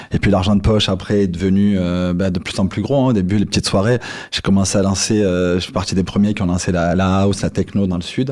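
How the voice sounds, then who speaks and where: The pace is very fast. A man delivers it in a fairly low voice. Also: fairly even intonation. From Marseille, southern France. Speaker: entrepreneur. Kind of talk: interview storytelling.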